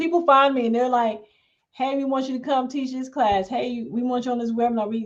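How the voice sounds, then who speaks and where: A woman speaks in a high voice with an animated tone at a fairly quick pace. Echo from the room can be heard. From US South, Huntsville, Alabama. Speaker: small business consultant. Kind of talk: casual podcast interview.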